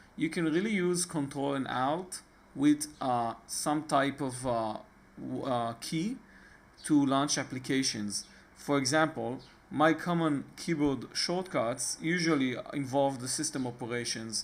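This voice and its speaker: A man with an Israeli accent speaks at a fairly slow pace in a fairly high voice with ordinary pitch variation. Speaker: tech tutorial maker. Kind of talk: tutorial. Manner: casual, with hesitations.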